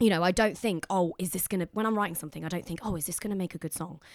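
Here a woman speaks with ordinary pitch variation. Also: very clean recording, silent background. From Leicestershire, England. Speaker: singer-songwriter. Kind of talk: casual interview chat. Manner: fast talker, gets louder.

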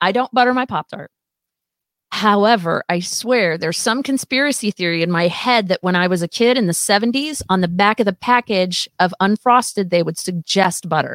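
In an ordinary speaking voice, a woman talks at a moderate pace and medium pitch with ordinary pitch variation and a dry, close sound with no echo. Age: 50s. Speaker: rock musician. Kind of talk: casual chat. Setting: studio.

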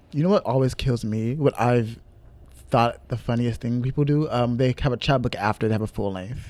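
An ordinary speaking voice from a man at medium pitch comes at a moderate pace, with ordinary pitch variation and big swings in loudness. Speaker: podcast co-host and poet. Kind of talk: casual chat.

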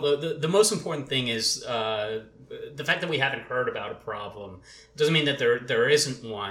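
Against noticeable background noise, a man speaks at a moderate pace with hardly any pauses. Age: 30s. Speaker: employment attorney. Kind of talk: casual panel discussion.

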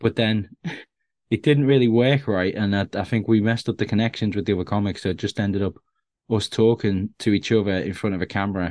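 Speaking at a very fast pace, a man uses a fairly low pitch and fairly even intonation. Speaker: stand-up comedian. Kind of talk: casual interview chat. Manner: jokey, self-deprecating.

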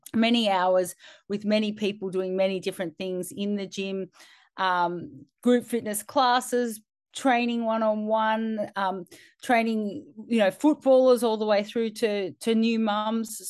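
The pace is fairly slow. The background is quiet. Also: woman. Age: 40s. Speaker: fitness coach and podcast co-host. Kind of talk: casual chat.

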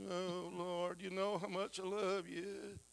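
A man puts on a whiny character voice, high in pitch, speaking at a fairly slow pace. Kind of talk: pious prayer. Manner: whining.

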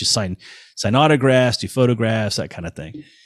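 In a very clean recording with a silent background and a dry, close sound with no echo, a man speaks fairly quickly in a plain, everyday voice with ordinary pitch variation. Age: 50s. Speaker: touring bassist. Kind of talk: casual chat.

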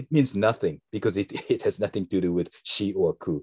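With a Japanese accent, a man speaks at a moderate pace, the sound dry and close with no echo over a quiet background. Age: 50s. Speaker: metal musician. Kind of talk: interview. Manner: halting.

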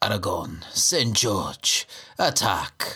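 Using a put-on character voice, a man speaks at medium pitch with a raspy sound. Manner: cool, casual, whispered.

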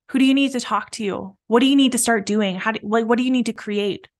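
A woman with a plain, everyday voice talks at a fairly quick pace and a fairly high pitch, her intonation fairly even. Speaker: business coach and podcast host. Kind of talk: pep talk, coaching monologue. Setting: solo podcast recording. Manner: warm, encouraging, motivational; reflective, paced with pauses to let ideas sink in.

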